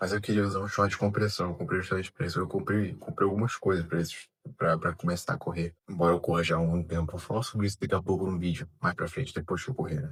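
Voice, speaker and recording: A soft-spoken, somewhat breathy man at a very fast pace, very deep and low in pitch, with ordinary pitch variation. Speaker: amateur runner vlogger. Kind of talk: casual vlog monologue. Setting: at home, early morning. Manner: soft-spoken, speaking quietly.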